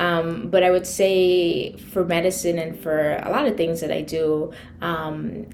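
Amid noticeable background noise and audible room echo, a woman speaks at a fairly low pitch. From Trinidad. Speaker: physician. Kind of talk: casual interview.

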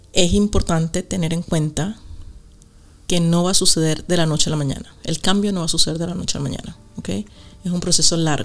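Her voice is fairly low for a woman, delivered at a fairly quick pace in a monotone, flat way, broken by long, frequent pauses. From Venezuela. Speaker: podcast co-host, meditation guide. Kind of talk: casual chat.

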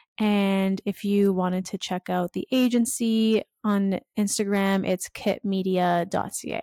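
On a very clean, dry recording with a silent background and no echo, a woman with a Canadian accent speaks at a medium pitch and a fairly slow pace, with a dark, mellow tone, fairly even intonation and hardly any pauses. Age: 20s. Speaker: influencer marketing agency owner. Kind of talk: interview.

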